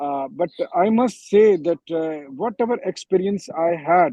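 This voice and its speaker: A man speaks with an Indian accent at a very slow pace. His tone is dark and mellow, with ordinary pitch variation. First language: Hindi. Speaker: war correspondent. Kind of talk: panel discussion. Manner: halting, many fillers.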